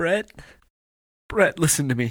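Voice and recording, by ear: A man's put-on character voice, slow, with a fairly bright tone and a slightly husky edge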